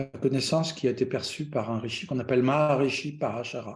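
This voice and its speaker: Audible room echo surrounds a somewhat breathy man speaking at a fairly slow pace with fairly even intonation. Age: 60s. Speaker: Vedic astrologer. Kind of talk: lecture. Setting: online conference. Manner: hesitant, many fillers.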